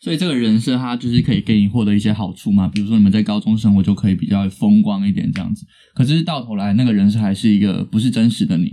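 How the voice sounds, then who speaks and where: Very fast speech from a man with a medium pitch. His tone is dark and mellow, with ordinary pitch variation. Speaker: drama student, podcast co-host. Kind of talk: casual chat.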